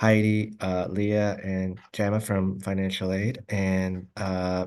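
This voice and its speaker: Against a quiet background, a man with a Spanish accent speaks in a very deep, low voice with monotone, flat intonation. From Oregon, Albany. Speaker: academic advisor. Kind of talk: presentation. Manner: halting, many fillers.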